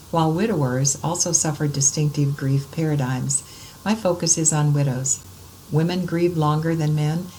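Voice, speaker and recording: A woman speaks in a very deep, low voice at a moderate pace, with ordinary pitch variation. Noticeable background noise and audible room echo are present. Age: 70s. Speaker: student and conference speaker on grief. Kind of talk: conference presentation. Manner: formal.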